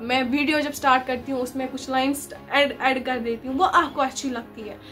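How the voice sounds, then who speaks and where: Over noticeable background noise, a woman speaks at a high pitch and a fairly slow pace. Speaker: vlogger and story writer. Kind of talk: casual storytelling vlog. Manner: conversational, repeats filler words.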